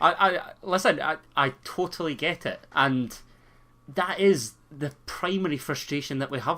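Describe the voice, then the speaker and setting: The recording is very clean, with a silent background. A man speaks in a fairly high pitch with a bright, sharp tone. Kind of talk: podcast discussion.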